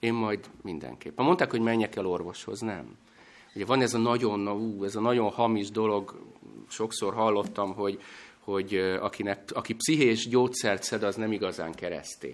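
A man with an ordinary speaking voice, fairly low pitch, ordinary pitch variation and a moderate pace. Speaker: guest preacher. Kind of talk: sermon. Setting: church.

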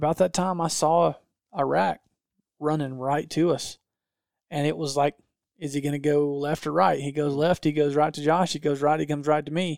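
The sound is dry and close with no echo, in a very clean recording with a silent background. A man with a fairly high pitch speaks with fairly even intonation and long, frequent pauses. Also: moderate pace. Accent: Southern US. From north Georgia, US South. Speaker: hunting videographer. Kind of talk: casual chat.

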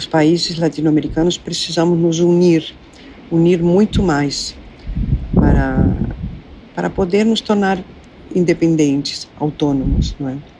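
A woman speaks at a fairly slow pace with fairly even intonation and long, frequent pauses. Noticeable background noise runs underneath. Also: fairly low pitch for a woman. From Argentina, Buenos Aires. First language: Spanish (speaking Portuguese). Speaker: psychoanalyst and former actress. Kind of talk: interview.

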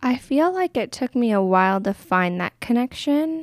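A woman with a Canadian accent and an unremarkable speaking voice, lively in intonation and moderate in pace, in a dry, close sound with no echo and a very clean recording over a silent background. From Alberta, Canada (Crowsnest Pass, Medicine Hat). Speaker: counsellor. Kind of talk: casual interview.

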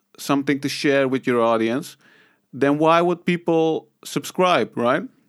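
The recording is very clean with a silent background. A man speaks very slowly at a fairly high pitch with ordinary pitch variation. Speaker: podcast host. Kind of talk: solo podcast monologue. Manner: casual, filler-heavy.

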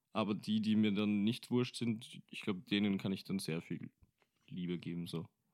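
Recorded very cleanly against a silent background, a man speaks at a moderate pace with fairly low pitch. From Austria, Vienna. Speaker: rapper and singer. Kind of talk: casual chat.

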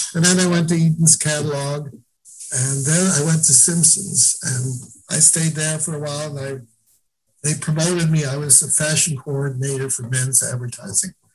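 A man's fairly high, somewhat breathy voice holds a moderate pace and fairly even intonation. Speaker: retired real estate agent. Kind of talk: casual interview. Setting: video call.

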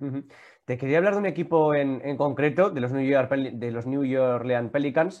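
This normal speaking voice keeps a moderate pace and shows ordinary pitch variation. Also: man, fairly high pitch for a man. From Vitoria, Basque Country. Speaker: YouTube and Twitch sports show host. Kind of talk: casual interview chat.

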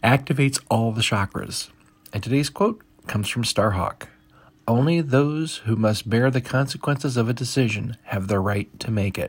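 On a very clean recording with a silent background, a man with an American accent speaks at medium pitch, somewhat breathy, with ordinary pitch variation. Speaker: pagan podcast host. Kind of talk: brisk daily weather report read off a forecast, numbers rattled through. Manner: quick, matter-of-fact list reading of temperatures and times; friendly and informal, stumbles and laughs at own slips.

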